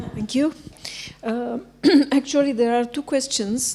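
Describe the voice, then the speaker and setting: The speaker is a woman. She talks with a Romanian accent. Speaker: librarian asking a question. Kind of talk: audience question.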